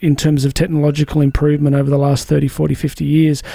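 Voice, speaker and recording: A man with an Australian accent has a dark, mellow tone. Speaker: podcast host. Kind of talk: interview. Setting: studio.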